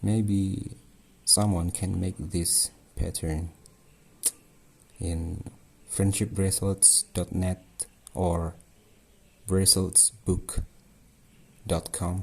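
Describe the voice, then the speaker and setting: A man speaks in a very deep, low pitch with monotone, flat intonation. His pace is very slow, broken by long, frequent pauses. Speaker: craft tutorial maker. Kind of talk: tutorial. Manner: halting.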